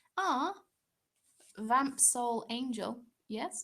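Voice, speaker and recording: A woman with a southern English accent, fairly high pitch and ordinary pitch variation. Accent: British, southern English. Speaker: craft YouTuber. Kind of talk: live stream Q&A chat. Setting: live stream. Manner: animated.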